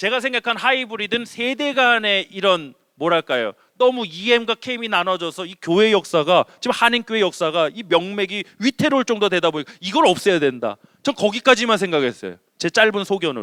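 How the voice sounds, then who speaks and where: A man with a Chungcheong accent speaks in a high, raised and projected voice with a bright, sharp tone and lively intonation. His delivery is animated and fairly quick, with a dry, close sound and no echo. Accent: Chungcheong dialect Korean. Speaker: senior pastor. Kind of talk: sermon. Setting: church.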